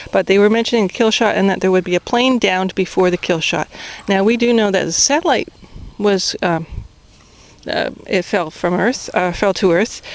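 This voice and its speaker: Over noticeable background noise, a woman talks at medium pitch with ordinary pitch variation. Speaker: spiritual vlogger. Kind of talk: casual vlog monologue. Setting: outdoors. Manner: fast.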